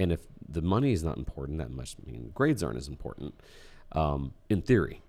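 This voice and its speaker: In a very deep, low voice with vocal fry and a dark, mellow tone, a man talks at a fairly quick pace with lively intonation and big swings in loudness. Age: 40s. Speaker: educator and entrepreneurship guest. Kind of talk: casual chat. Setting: studio.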